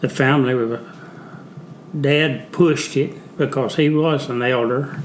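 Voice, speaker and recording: A man with a Southern US accent and a fairly high pitch speaks with fairly even intonation and long, frequent pauses. Audible room echo and noticeable background noise fill the recording. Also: fairly slow pace. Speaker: Vietnam veteran. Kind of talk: casual interview. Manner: halting.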